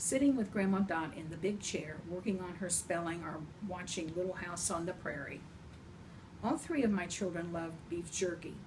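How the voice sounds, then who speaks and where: There is noticeable background noise and audible room echo as a woman speaks at a fairly low pitch. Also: ordinary pitch variation, moderate pace. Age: 70s. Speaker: grandmother storyteller. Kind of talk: reading aloud. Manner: gentle.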